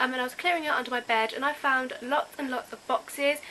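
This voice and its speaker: Her voice is raised and projected. The woman speaks at a high pitch. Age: young. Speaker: youtuber. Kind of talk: casual vlog.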